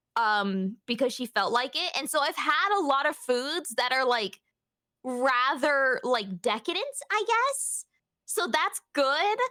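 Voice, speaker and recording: The voice is raised and projected, with a bright, sharp tone. It moves at a very slow pace through very wide pitch swings. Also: woman, high pitch for a woman. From England. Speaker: streamer guest. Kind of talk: casual chat.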